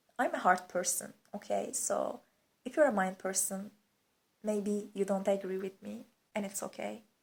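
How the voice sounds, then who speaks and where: With a Turkish accent and vocal fry, a woman speaks at a moderate pace and medium pitch, with ordinary pitch variation. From Turkey. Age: 20s. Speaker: vlogger. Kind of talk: casual chat. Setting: lying on living room floor.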